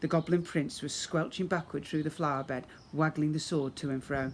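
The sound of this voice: A man's fairly high voice at a moderate pace with fairly even intonation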